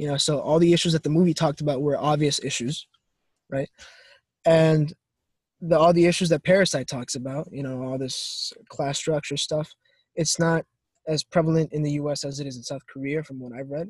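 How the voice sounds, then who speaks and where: A man with a fairly high, somewhat breathy voice talks at a fairly quick pace with fairly even intonation and big swings in loudness, in a dry, close sound with no echo. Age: 20s. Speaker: college student. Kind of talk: casual chat.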